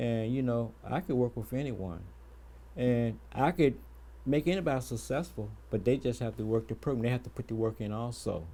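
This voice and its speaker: A man with a dark, mellow tone and medium pitch speaks at a moderate pace with ordinary pitch variation. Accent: American. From Petersburg, Virginia. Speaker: youth athletics mentor. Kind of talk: talk show interview. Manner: soft-spoken; halting, many fillers.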